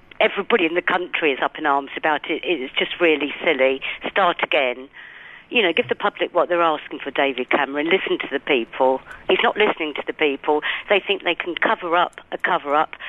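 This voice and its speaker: Speaking in a London accent, a woman has a very deep, low pitch and ordinary pitch variation. Her pace is fairly quick. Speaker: caller. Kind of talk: radio phone-in. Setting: phone call. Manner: indignant, emphatic; hesitant, many fillers.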